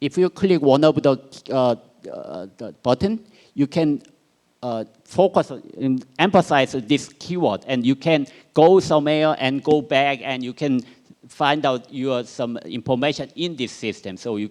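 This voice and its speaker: A man with a Korean accent speaks at a fairly high pitch with ordinary pitch variation, on a very clean recording with a silent background. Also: fairly slow pace. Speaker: researcher. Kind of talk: conference presentation. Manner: halting.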